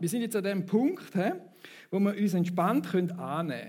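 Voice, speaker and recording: In a Thurgau accent, a high-pitched man speaks at a moderate pace with ordinary pitch variation and audible room echo. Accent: Thurgau Swiss German dialect. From Switzerland, Thurgau. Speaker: preacher. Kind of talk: sermon. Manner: conversational, audience interaction.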